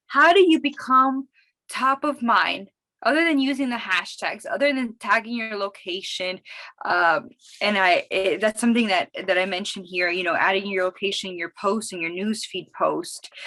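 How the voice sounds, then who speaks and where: With a Miami accent, a woman talks at a fairly high pitch and with lively intonation. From Miami, Florida. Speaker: social media marketing consultant. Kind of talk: webinar presentation. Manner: fast; animated.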